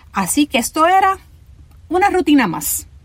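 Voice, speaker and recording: A woman speaks with a Puerto Rican accent. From Puerto Rico, Ponce. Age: 50s. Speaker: podcast host, cancer survivor. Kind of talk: personal storytelling narration.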